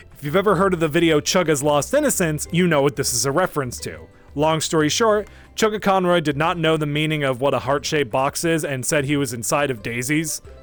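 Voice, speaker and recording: Music plays in the background as the speaker goes at a fairly quick pace with ordinary pitch variation. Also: man, fairly high pitch for a man. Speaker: streamer, furry vtuber. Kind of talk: casual chat. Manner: fast; animated.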